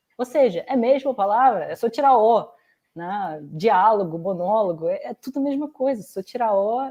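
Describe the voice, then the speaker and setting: Her intonation lively, a woman talks at a moderate pace with a fairly high pitch. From Russia. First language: Russian (speaking Portuguese). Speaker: youtuber. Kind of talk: interview. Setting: live stream.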